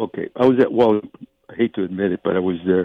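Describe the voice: In a dry, close sound with no echo, a man speaks at a fast pace with a low pitch, ordinary pitch variation, a slightly husky edge, and vocal fry.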